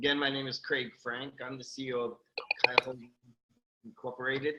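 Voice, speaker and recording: This is a man with an American accent. His voice sits at a medium pitch. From New York. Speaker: company CEO. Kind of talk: interview. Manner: hesitant, many fillers.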